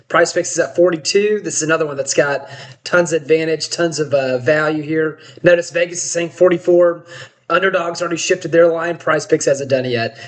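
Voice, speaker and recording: A man talks at a high pitch and a fairly quick pace. His intonation is fairly even over noticeable background noise. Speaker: sports betting site founder. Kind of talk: tutorial. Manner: fast; casual, with many fillers.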